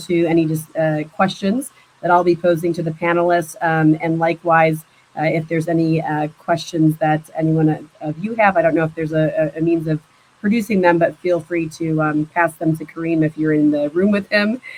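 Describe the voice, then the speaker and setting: A woman talks at a moderate pace with a fairly low pitch. Her intonation stays fairly even. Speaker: arbitration lawyer, panel moderator. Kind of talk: panel discussion. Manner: hesitant, many fillers.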